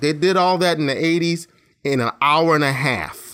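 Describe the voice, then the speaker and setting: A man speaks at a moderate pace with a fairly high pitch and lively intonation. It is a plain, everyday voice on a very clean recording with a silent background. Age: 50s. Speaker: podcast co-host. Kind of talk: casual chat.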